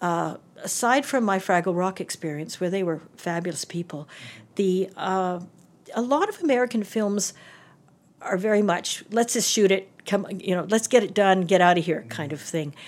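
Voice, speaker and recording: A woman talks in a normal speaking voice at medium pitch and a moderate pace, with ordinary pitch variation. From Calgary, Alberta, Canada. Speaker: theatre and film designer, university professor. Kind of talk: casual interview chat. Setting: office interview.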